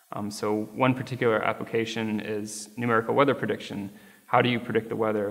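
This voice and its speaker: A man with an American accent, fairly low-pitched, talking at a fairly quick pace in a monotone, flat intonation, over noticeable background noise. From US Midwest, Chicago. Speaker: physics graduate student. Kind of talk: interview. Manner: hesitant, many fillers.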